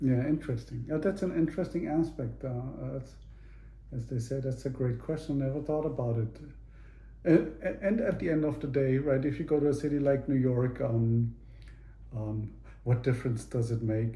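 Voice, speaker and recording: With a slight German accent, a man speaks at a moderate pace with long, frequent pauses and audible room echo. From Germany (Munich). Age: 50s. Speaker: interviewee, father. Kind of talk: casual interview. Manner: halting, many fillers and repeats.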